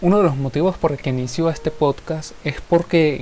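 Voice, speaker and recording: A man with fairly high pitch and a Venezuelan accent, music in the background. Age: 20s. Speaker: musician and podcaster. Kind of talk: solo podcast monologue. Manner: formal.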